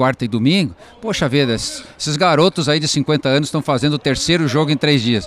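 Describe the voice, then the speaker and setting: A man talks at a moderate pace. The sound is dry and close with no echo, over noticeable background noise. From southern Brazil (Rio Grande do Sul). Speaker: football commentator. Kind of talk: live commentary. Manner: halting, repeats words.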